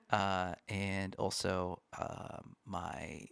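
Speaking in an American accent, a man keeps to a fairly low pitch. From Washington State. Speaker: worship pastor, podcast producer. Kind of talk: casual chat. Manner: halting, many fillers.

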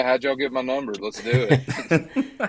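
The speaker is a man with a Southern US accent. He talks at a moderate pace. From US South, western Georgia. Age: 20s. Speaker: country singer-songwriter. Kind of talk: casual interview. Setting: outdoors at a social gathering, remote call.

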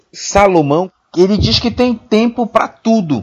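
Very slowly, a man speaks. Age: 30s. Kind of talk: casual Bible discussion.

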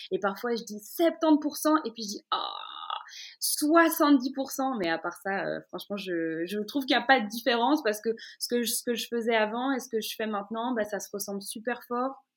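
With lively intonation and big swings in loudness, a woman uses a normal speaking voice at a moderate pace. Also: fairly high pitch for a woman. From Brussels, Belgium. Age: 20s. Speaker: radio host. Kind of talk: interview. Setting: at home in her living room.

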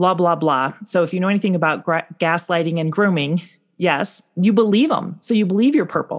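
Fairly quick and with ordinary pitch variation, a woman speaks. She has a plain, everyday voice, fairly low in pitch. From US Midwest, Chicago North Shore. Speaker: motivational speaker. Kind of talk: interview conversation.

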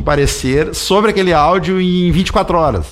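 Male voice on a very clean recording with a silent background. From Rio Grande do Sul, Santa Maria. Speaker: judge. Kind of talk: radio interview.

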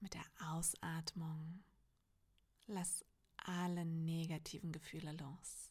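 Very slow and somewhat breathy, a woman with a gentle tone and a fairly low pitch speaks in a monotone, flat intonation with long, frequent pauses. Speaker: meditation guide. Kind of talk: guided meditation. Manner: slow, calm and soothing, with long pauses; soft-spoken and gentle.

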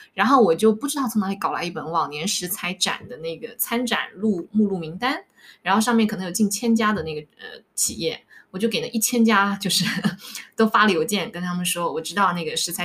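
At a fairly quick pace, an ordinary speaking voice moves with ordinary pitch variation. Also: woman. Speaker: life coach. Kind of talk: casual interview chat, sharing life story.

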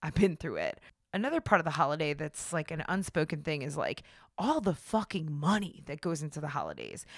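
A woman's fairly low-pitched voice with ordinary pitch variation, an animated tone and a fairly quick pace, on a very clean recording with a silent background. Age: 30s. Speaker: podcast host. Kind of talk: casual monologue.

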